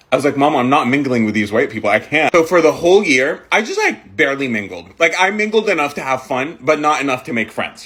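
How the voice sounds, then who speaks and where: With hardly any pauses, a man talks at a very fast pace in a fairly high pitch, his intonation lively and his tone animated, while noticeable background noise runs underneath. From Middle East (Jordan, Saudi Arabia). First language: Arabic. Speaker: content creator. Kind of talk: storytime monologue. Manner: casual, filler-heavy.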